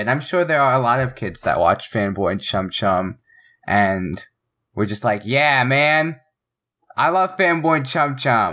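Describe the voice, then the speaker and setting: On a very clean recording with a silent background, a bright, sharp tone comes through at a fairly slow pace. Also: man. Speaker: podcast co-host. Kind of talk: casual chat. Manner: animated.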